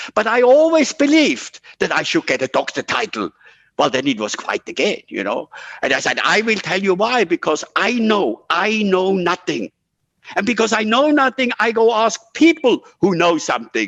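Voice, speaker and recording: A man talks at a moderate pace in a high pitch with very wide pitch swings. The sound is dry and close with no echo, over a quiet background. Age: 70s. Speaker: photographer and NGO founder. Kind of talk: interview. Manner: animated.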